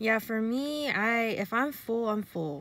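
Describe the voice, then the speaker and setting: A woman speaks at a very slow pace with ordinary pitch variation, the sound dry with no echo. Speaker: vlogger. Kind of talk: casual vlog chat. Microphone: phone near.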